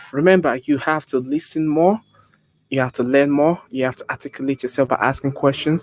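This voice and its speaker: With a Nigerian accent and fairly even intonation, the speech has a dry, close sound with no echo. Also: man. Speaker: public speaking coach. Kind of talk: tutorial.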